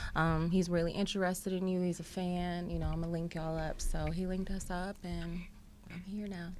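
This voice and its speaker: The speaker has an American accent and talks fairly quickly in a monotone, flat way. Room echo is audible. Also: woman, fairly low pitch for a woman. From North Carolina. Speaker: singer and songwriter. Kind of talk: interview.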